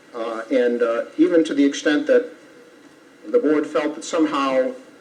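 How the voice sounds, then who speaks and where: This man's voice sits fairly high and swings very widely in pitch. Background noise is noticeable. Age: 70s. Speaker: attorney for applicant. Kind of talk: legal argument at public hearing. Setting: town board meeting room. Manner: formal.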